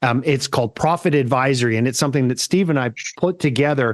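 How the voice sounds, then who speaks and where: In an ordinary speaking voice, a man talks at a moderate pace and medium pitch with ordinary pitch variation, recorded very cleanly against a silent background with a dry, close sound and no echo. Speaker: podcast host. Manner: casual, friendly.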